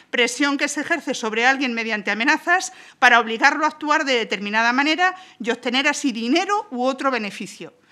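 A raised, projected voice with a bright, sharp tone and a Spanish accent, at a fairly quick pace with lively intonation and a quiet background. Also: woman, high pitch for a woman. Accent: Peninsular Spanish. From Spain. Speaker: parliamentary spokesperson. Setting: parliament chamber. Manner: formal, with occasional hesitations ("eh") while building the argument. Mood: combative, critical. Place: hall. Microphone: podium.

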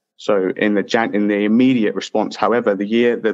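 A man with a London accent speaks in a fairly low voice against a quiet background. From southeast London, England. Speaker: PhD student. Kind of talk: interview. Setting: video call.

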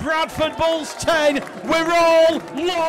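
A man is speaking. Crowd noise can be heard behind him. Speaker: sports commentator. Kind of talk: live rugby league match commentary. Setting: broadcast commentary on a match.

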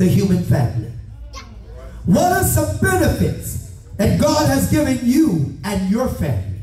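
A man speaks at a fairly slow pace. There is audible echo from the room. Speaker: pastor. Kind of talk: sermon. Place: church.

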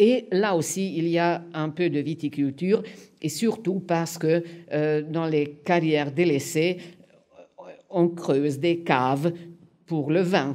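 A woman with a Hungarian accent speaks very slowly in a fairly low, dark, mellow voice with ordinary pitch variation. She leaves long, frequent pauses against a quiet background. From Hungary (Budapest). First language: Hungarian (speaking French). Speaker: museum curator and literary historian; historian lecturer. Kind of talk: lecture. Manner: halting. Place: hall.

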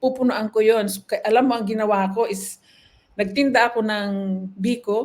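A woman with an ordinary speaking voice talks at a fairly high pitch with fairly even intonation. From Philippines, Ilocos Norte. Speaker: nurse. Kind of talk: interview, life story.

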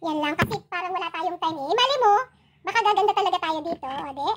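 The intonation is lively. A woman talks at a fairly quick pace. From Philippines. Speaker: YouTube vlogger. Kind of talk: casual livestream chat. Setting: at home. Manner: animated. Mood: chatty, playful. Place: home room. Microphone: phone near.

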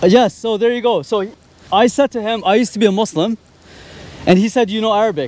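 A man speaks very fast in a high pitch with ordinary pitch variation and long, frequent pauses, the sound dry with no echo. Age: 30s. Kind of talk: street debate. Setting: outdoors in public with a group. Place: street. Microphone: handheld.

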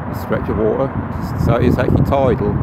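Someone speaks at a fairly quick pace over loud background noise. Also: man, dry sound with no echo. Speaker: vlogger. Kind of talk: casual vlog chat. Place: waterside. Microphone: phone near.

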